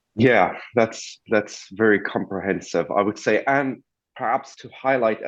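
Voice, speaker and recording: Against a quiet background, a man talks at a moderate pace with a medium pitch and ordinary pitch variation. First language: non-English language. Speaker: interviewer, immigration content creator. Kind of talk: interview.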